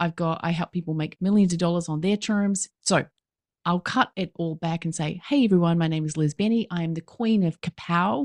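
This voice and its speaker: A woman's animated, fairly low-pitched voice at a fairly quick pace, in a very clean recording with a silent background and a dry, close sound with no echo. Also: ordinary pitch variation. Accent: New Zealand. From New Zealand. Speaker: business coach. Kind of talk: podcast interview.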